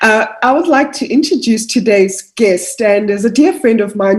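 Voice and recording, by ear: A woman speaks at medium pitch and a moderate pace.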